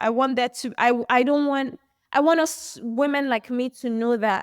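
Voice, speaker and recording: Captured in a very clean recording with a silent background and a dry, close sound with no echo, a woman with a high pitch talks fairly slowly with ordinary pitch variation. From Nigeria. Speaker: fashion brand founder. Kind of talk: interview conversation.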